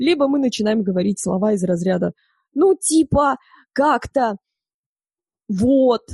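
A woman with a fairly high pitch and a dark, mellow tone sounds somewhat breathy. She speaks at a moderate pace with lively intonation, in a dry, close sound with no echo. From northern Kazakhstan, small village. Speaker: voice and speech coach, former radio and TV host. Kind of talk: interview.

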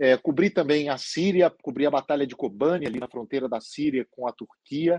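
Dry and close with no echo, a man's voice comes through at medium pitch with a dark, mellow tone and a moderate pace. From Minas Gerais, Brazil (Lagoa Santa). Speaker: foreign correspondent, journalist. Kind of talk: Q&A talk with students. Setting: video call from London.

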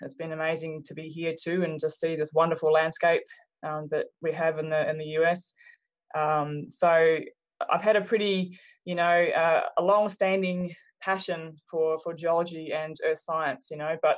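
At a moderate pace, a woman speaks with monotone, flat intonation and fairly low pitch. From New Zealand, Hawke's Bay. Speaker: geology professor. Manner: hesitant, many fillers.

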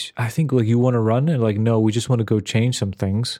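A man's medium-pitched voice, dark and mellow in tone, at a fairly quick pace. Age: 50s. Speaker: podcast co-host. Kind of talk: casual chat.

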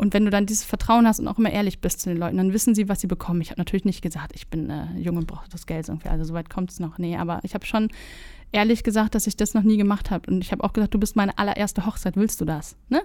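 A woman speaks very fast at a medium pitch with ordinary pitch variation. Her tone is dark and mellow. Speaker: videographer. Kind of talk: casual chat. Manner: calm.

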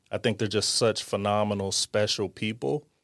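A man's fairly low-pitched voice at a moderate pace. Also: very clean recording, silent background. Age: 40s. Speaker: startup founder. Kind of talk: casual interview.

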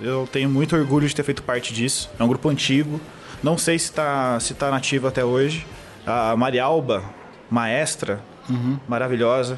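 A man at medium pitch and moderate pace, with fairly even intonation and music in the background. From Brazil, southern Minas Gerais. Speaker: advertising professional and metal/hardcore band vocalist-bassist. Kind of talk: casual chat. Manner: halting, many repetitions and fillers.

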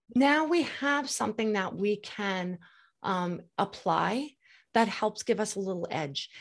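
On a very clean recording with a silent background, a woman with an ordinary speaking voice speaks in an American accent at medium pitch, at a fairly slow pace, with lively intonation. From New York. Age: 50s. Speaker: hair care brand trainer and spokesperson. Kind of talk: casual interview chat.

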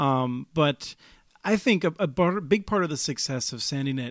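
A man is speaking here. The recording is very clean, with a silent background. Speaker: podcast host. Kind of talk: interview. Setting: conference venue. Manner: fast.

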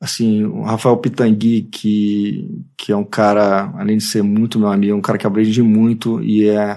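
Against a quiet background, a man speaks at a moderate pace in a medium pitch. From Brazil, Rio de Janeiro (Tijuca). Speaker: advertising creative director. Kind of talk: casual interview. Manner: halting, many repetitions.

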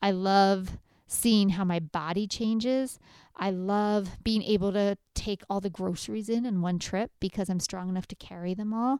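A woman with an ordinary speaking voice talks at a fairly slow pace, medium in pitch and fairly even in intonation. The recording is very clean and the background silent. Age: 40s. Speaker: dietitian podcast host. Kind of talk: casual solo monologue. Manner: conversational, frequent fillers.

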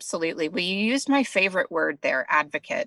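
A woman speaks with a fairly low pitch and a bright, sharp tone. The sound is dry and close with no echo, on a very clean recording with a silent background. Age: 40s. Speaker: app founder, entrepreneur. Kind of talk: interview.

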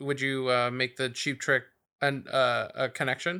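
A man with an American accent has a bright, sharp tone and fairly high pitch, heard in a very clean recording with a silent background. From South Bay, Los Angeles. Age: 30s. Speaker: podcast host. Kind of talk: casual chat. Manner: casual, profane, rambling.

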